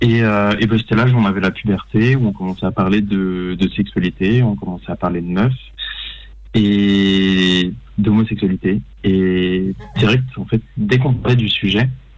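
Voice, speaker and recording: A man's unremarkable speaking voice at a fairly low pitch, with a fairly slow pace and ordinary pitch variation. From Paris suburbs. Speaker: film director. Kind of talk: interview.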